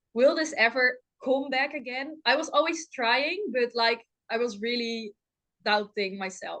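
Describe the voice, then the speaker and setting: A woman with a Dutch accent speaks at a fairly slow pace in a high pitch with ordinary pitch variation. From Netherlands. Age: 20s. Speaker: professional runner. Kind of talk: podcast interview. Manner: hesitant, many fillers.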